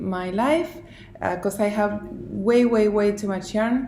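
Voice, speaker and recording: There is audible room echo around a woman whose pitch variation is ordinary. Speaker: knitting designer and video podcaster. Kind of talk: casual vlog monologue. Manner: very slow; halting with many fillers and pauses.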